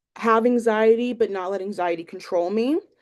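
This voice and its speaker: A woman with an American accent, medium pitch and moderate pace. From northeastern Pennsylvania, Lackawanna County. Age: 20s. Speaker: student teacher. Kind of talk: class introduction video. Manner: hesitant, many fillers.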